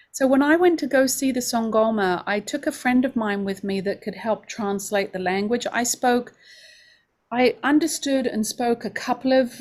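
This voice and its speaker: On a very clean recording with a silent background, a woman with an English accent speaks at a moderate pace in a high pitch with ordinary pitch variation. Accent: English, still noticeable. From London, England. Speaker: homeopathy school director. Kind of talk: open house presentation.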